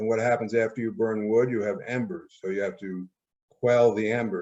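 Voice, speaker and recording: With a normal speaking voice, a man talks at a moderate pace and with fairly even intonation. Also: medium pitch for a man. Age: 60s. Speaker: health channel host selling ozone equipment. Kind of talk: interview.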